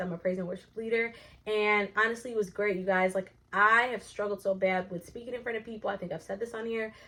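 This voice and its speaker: A woman talks very fast at a fairly high pitch, against a quiet background. Her tone is animated, bright and sharp. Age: 20s. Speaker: vlogger and worship leader. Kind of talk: casual vlog life update.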